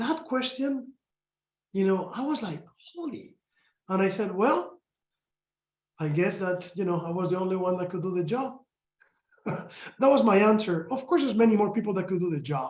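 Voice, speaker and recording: A man with a Spanish accent, high-pitched for a man, at a moderate pace with lively intonation and long, frequent pauses. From Spain. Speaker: company executive. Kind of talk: panel discussion.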